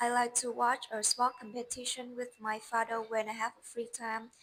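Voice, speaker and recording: With a Vietnamese accent, a woman speaks at a moderate pace in a fairly high pitch, her intonation monotone and flat. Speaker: English learner. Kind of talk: speaking test practice. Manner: halting.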